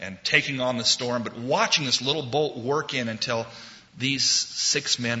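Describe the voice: Plain reading aloud in fairly even intonation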